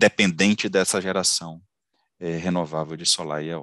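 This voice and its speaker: A man is speaking in a dry sound with no echo. The background is quiet. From Ceará, Brazil. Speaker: engineer and company founder; engineer lecturer. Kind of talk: lecture. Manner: halting, many fillers and repetitions. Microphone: headset.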